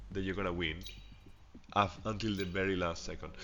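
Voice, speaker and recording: Music plays in the background as a man talks in a fairly low pitch. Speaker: gamer. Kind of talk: gameplay commentary.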